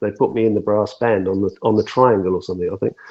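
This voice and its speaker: A man speaks with a southern English accent. His pitch is fairly low and his intonation fairly even. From southern England, Portsmouth area. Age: 60s. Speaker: singer-songwriter. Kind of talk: interview. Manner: halting.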